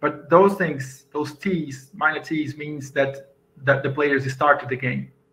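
Over music in the background, the voice moves at a very slow pace in a Portuguese accent with fairly even intonation. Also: man, fairly high pitch for a man. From Brazil. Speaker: software engineer and conference speaker. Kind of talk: conference talk. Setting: video call. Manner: halting. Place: home room. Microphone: webcam.

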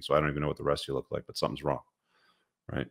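The voice carries vocal fry against a quiet background. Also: man. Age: 40s. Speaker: men's self-help host. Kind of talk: motivational monologue. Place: home room. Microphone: studio mic.

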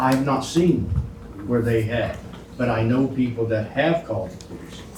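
A man speaks at a moderate pace and medium pitch, with noticeable background noise and audible room echo. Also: ordinary pitch variation, big swings in loudness. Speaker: public commenter at county meeting. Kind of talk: public comment at meeting. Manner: loud.

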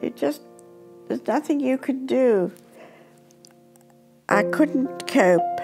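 With clear music in the background, a woman speaks at a very slow pace and a fairly high pitch, with very wide pitch swings and long, frequent pauses. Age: 80s+. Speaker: grandmother interviewee. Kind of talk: interview answer. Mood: reflective, sometimes sorrowful. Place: home room.

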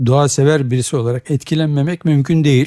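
Fairly quick and fairly high for a man, his voice has a dark, mellow tone and fairly even intonation, with a dry, close sound and no echo. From Turkey, grew up in Zonguldak, Eskişehir and Ankara. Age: 70s. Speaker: biology professor. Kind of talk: radio interview.

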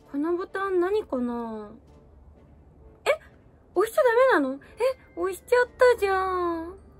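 A woman at an extremely high pitch with very wide pitch swings, big swings in loudness, a moderate pace and long, frequent pauses, over faint music in the background. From Aomori, Japan. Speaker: idol. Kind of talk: comedy skit. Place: home room. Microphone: phone near.

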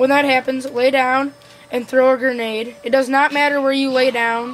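A woman talks at a moderate pace in a high, flat monotone. Noticeable background noise is present. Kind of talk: video game tutorial narration. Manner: casual.

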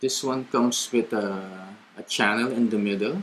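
A man with a Filipino accent, fairly even intonation and a fairly slow pace, over light background noise. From Philippines. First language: Tagalog. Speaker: cycling vlogger. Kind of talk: tutorial. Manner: casual Taglish code-switching. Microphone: webcam.

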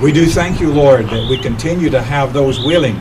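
With noticeable background noise behind him, a man speaks at a moderate pace with ordinary pitch variation. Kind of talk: public prayer. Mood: solemn, reverent. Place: garden.

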